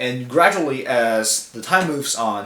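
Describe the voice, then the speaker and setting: A man speaks at a moderate pace and a medium pitch, with a Chinese accent. His intonation is lively, and the room has audible echo. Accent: Mandarin Chinese accent in English. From China. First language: Mandarin. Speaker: language student. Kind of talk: class discussion video response. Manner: hesitant, many fillers.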